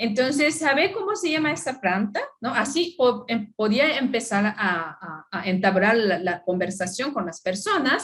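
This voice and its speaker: With a non-native accent, a woman speaks at a fairly high pitch and a fairly slow pace, her pitch swinging very widely as she goes on with hardly any pauses. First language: not Spanish (speaking Spanish). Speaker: anthropologist. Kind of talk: conference talk. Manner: halting.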